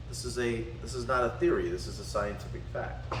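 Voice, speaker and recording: A man with a Southern US accent speaks at a moderate pace over noticeable background noise. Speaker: spiritual and martial arts teacher. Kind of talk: lecture.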